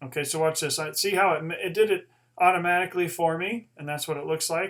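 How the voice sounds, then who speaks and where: A man's high-pitched voice at a fairly quick pace with ordinary pitch variation. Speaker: teacher making Zoom tutorials. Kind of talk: screen-share tutorial. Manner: fast; casual with many fillers.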